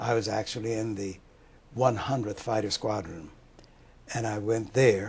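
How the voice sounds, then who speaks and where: Somewhat breathy, the voice proceeds at an even, moderate tempo. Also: man. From US West, Los Angeles. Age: 80s+. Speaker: war veteran. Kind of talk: oral history interview.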